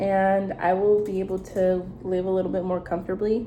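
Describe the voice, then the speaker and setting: The speaker is a woman with a dark, mellow tone. Her pitch sits in the medium range. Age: 20s. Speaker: vlogger giving life advice. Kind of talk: casual monologue vlog. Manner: casual, filler-heavy.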